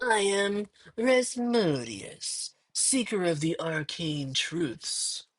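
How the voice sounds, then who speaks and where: A female-sounding put-on character voice speaks at a medium pitch. The pace is very slow. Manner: ominous, grandiose.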